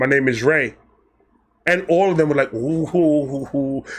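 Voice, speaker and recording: A man with an American accent, fairly high pitch, an animated tone and a fairly quick pace. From Brooklyn, New York. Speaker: storyteller youtuber. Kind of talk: casual storytelling.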